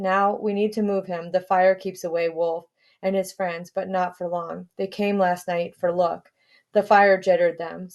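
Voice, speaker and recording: In a put-on character voice, a woman speaks at a medium pitch and a moderate pace, sounding strained and using monotone, flat intonation. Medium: read story. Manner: broken, terse speech.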